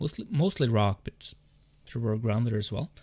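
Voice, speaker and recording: Music plays in the background as a man speaks with a Norwegian accent. His pitch is medium and his intonation lively. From Norway. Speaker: gaming streamer. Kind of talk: casual chat. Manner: halting.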